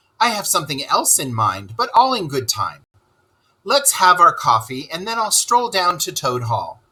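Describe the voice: A man puts on a character voice, fairly high-pitched with big pitch swings and a bright, sharp tone. He speaks at a moderate pace with a slightly husky edge.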